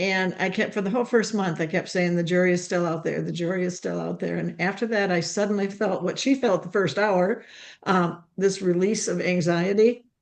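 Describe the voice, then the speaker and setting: With hardly any pauses, a woman talks at a moderate pace. Her voice carries vocal fry and fairly even intonation. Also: medium pitch for a woman. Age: 70s. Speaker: webinar guest sharing health testimony. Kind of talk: testimony.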